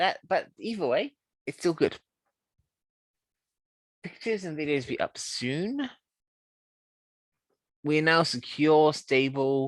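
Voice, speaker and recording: Very slow pace, with long, frequent pauses. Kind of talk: casual vlog update to camera. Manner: hesitant, casual.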